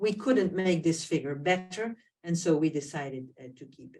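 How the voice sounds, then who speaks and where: A woman with a non-native accent speaks at a fairly slow pace with lively intonation. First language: not English. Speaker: diabetes professor and society president. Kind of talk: webinar presentation. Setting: online webinar. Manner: hesitant, many fillers.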